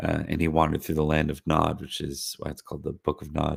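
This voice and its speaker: A man talks in a very deep, low pitch, his voice somewhat breathy. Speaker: livestream host. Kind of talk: casual livestream lore talk. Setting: live stream. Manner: hesitant, many fillers.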